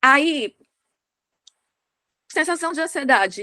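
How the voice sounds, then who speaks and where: A woman's raised, projected voice, bright and sharp in tone, with lively intonation and a dry, close sound with no echo. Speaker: podcast host. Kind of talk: casual chat. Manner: fast.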